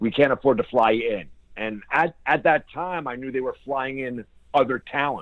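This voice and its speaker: A man speaks in a plain, everyday voice at a medium pitch with ordinary pitch variation. His pace is moderate, and his loudness swings widely. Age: 40s. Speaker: professional wrestler. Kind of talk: interview.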